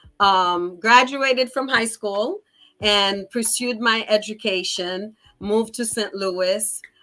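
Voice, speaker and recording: On a very clean recording with a silent background, a woman speaks very slowly at a fairly high pitch with fairly even intonation. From Haiti, Port-au-Prince. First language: Haitian Creole / French. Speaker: executive assistant. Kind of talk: interview.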